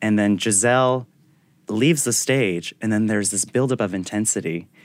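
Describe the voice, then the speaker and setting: A man with an American accent speaks at a fairly quick pace in a fairly low voice with ordinary pitch variation, in a very clean recording with a silent background. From Attleboro, Massachusetts, US. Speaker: ballet dancer. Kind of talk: casual interview. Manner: animated, halting with many fillers.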